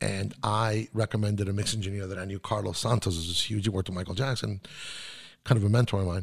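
A man's fairly low, somewhat breathy voice with fairly even intonation, in a very clean recording with a silent background. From South Florida (Miami), born in Chile. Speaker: mix engineer. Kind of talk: casual interview. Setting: studio.

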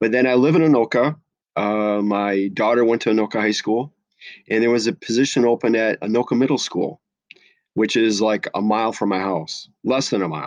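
A man speaks at a fairly quick pace and medium pitch with ordinary pitch variation, the sound dry and close with no echo over a quiet background. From US Midwest (La Crosse, Wisconsin). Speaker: special education teacher. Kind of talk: interview. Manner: many filler words, hesitant.

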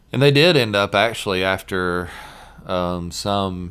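Moderate pace in a Southern US accent. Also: man. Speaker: podcast host. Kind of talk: casual chat.

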